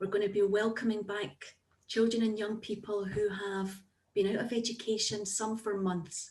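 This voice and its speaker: A woman speaks at a medium pitch and a moderate pace, her intonation flat and monotone. Her voice is somewhat breathy. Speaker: therapist, former teacher. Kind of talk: Q&A at online talk.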